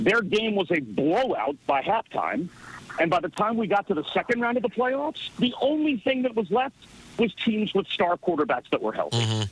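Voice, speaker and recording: The voice moves at a moderate pace with lively intonation and very even loudness, sounding dry and close with no echo. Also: man, high pitch for a man. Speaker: NFL team radio play-by-play announcer. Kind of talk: radio show interview answer, casual sports talk.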